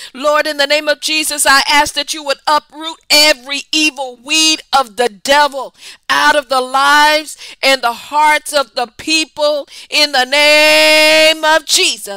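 A woman projects a raised voice at a high pitch, her tone bright and sharp. She speaks at a fairly slow pace in a monotone, flat way, with a dry, close sound and no echo. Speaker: prayer broadcaster. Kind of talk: fervent prayer, speaking in tongues and loud intercession. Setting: online broadcast, addressing viewers. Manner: impassioned, rhythmic, fervent; repetitive call-and-response exhortation.

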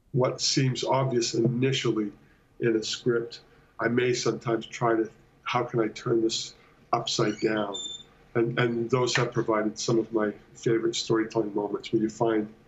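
A man speaks at a moderate pace in a somewhat breathy voice with monotone, flat intonation. His loudness stays very even over light background noise. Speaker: guest. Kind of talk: interview answer. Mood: thoughtful, relaxed. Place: home room. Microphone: video call.

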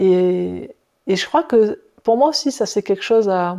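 A woman with a dark, mellow tone talks at a fairly slow pace over a quiet background. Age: 50s. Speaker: personal development teacher; workshop facilitator. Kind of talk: casual video monologue. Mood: calm, thoughtful. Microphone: lapel.

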